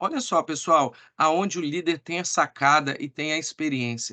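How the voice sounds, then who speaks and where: Against a quiet background, a man with a fairly high, bright, sharp voice talks at a moderate pace with lively intonation. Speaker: sales team trainer. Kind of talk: online training meeting.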